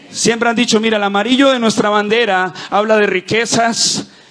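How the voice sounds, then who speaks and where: A man talks at a moderate pace in an animated tone. Noticeable background noise runs beneath him. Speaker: pastor. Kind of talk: sermon. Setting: church with live audience. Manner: fervent, rallying preacher voice, rising with call-and-response; animated, cadenced declarations with crowd prompts.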